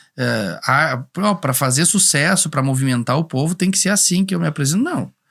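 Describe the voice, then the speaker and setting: A man speaks at a moderate pace with lively intonation, vocal fry and very even loudness. The recording is very clean, with a silent background. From Rio Grande do Sul, São Luís Gonzaga. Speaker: singer-songwriter. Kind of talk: podcast interview. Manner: halting, many repetitions.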